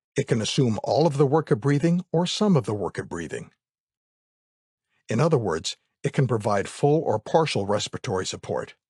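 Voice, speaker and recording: A man with an American accent speaks at a fairly high pitch, his voice swinging very widely and showing vocal fry. The sound is dry and close with no echo, against a quiet background. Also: fairly quick pace. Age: middle-aged. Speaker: voice actor. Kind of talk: educational narration.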